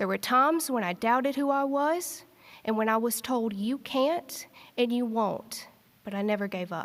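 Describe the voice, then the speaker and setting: With a strong Eastern Kentucky accent, a woman speaks at a moderate pace in a high pitch with lively intonation. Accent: thick Eastern Kentucky. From Eastern Kentucky, Appalachia. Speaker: graduating student speaker. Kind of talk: commencement speech. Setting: stage with audience in arts center.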